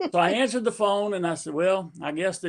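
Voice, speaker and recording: At a very fast pace, a man with an American accent talks at a high pitch with ordinary pitch variation. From US, grew up as Army brat. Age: 60s. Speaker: army veteran and giveaway winner. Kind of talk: casual chat. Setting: live stream.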